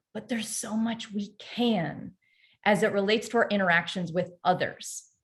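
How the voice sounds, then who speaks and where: The pace is moderate. The voice is somewhat breathy. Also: woman, medium pitch for a woman. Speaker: performance coach, company CEO. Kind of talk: webinar masterclass presentation. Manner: animated.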